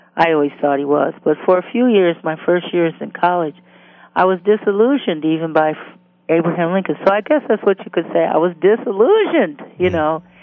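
Fairly low woman's voice with a Detroit accent, fairly quick in pace, ordinary in pitch variation. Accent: Northern US (Detroit). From US Midwest. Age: 60s. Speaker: substitute teacher. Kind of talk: biographical interview. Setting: phone call.

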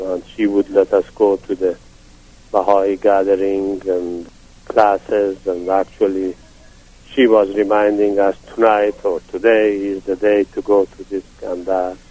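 With a Persian accent, a man speaks at a fairly slow pace and a fairly low pitch. His intonation is monotone and flat, and the sound is dry and close with no echo. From Iran, Yazd. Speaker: retired physician. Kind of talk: interview. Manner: halting.

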